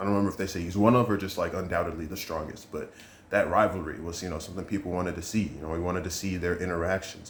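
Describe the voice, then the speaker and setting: In a room with audible echo, a man speaks in a flat monotone with a very deep, low pitch. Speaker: manga reviewer / youtuber. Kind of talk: casual review monologue. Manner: fast.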